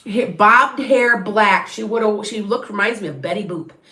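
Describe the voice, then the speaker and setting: A woman talks with an American accent, at medium pitch and with ordinary pitch variation. Background noise is noticeable. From southern Wisconsin near Illinois state line. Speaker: tarot reader and medium. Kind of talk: live stream psychic reading. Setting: live stream. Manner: chatty, halting with restarts.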